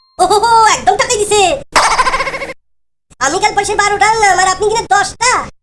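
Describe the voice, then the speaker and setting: A cartoonish character voice, extremely high in pitch, at a fairly quick pace. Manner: sly, drawn-out, folksy.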